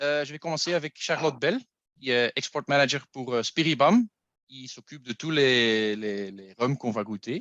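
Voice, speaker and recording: With a non-native accent, a man speaks at a moderate pace and fairly high pitch, his bright, sharp tone carrying lively intonation and big swings in loudness, the sound dry and close with no echo against a quiet background. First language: not French (speaking French). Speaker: masterclass host. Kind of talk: online tasting masterclass. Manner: halting.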